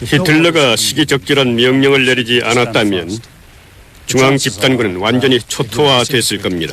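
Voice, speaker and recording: Over noticeable background noise, a man talks at a moderate pace and medium pitch, his intonation varying in an ordinary way. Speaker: voice actor dubbing a historian interviewee. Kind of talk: interview answer. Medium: dub.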